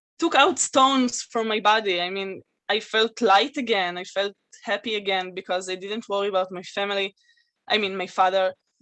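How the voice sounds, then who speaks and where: A woman with an Israeli accent speaks at a moderate pace and medium pitch with ordinary pitch variation, her tone bright and sharp and the sound dry and close with no echo. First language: Hebrew. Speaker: guest speaker. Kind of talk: testimony. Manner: halting.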